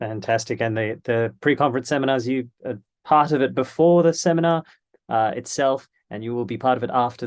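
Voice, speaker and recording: A man speaks with an Australian accent at a fairly quick pace against a quiet background. His pitch is medium, with ordinary variation. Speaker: panel moderator. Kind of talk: panel discussion.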